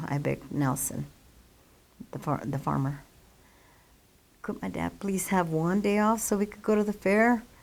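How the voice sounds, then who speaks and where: Someone with a Western US accent speaks at a moderate pace, the intonation lively. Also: woman, long, frequent pauses. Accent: American, Western US. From Colorado (Longmont). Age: 70s. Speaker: local resident. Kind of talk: oral history interview. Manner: casual, hesitant.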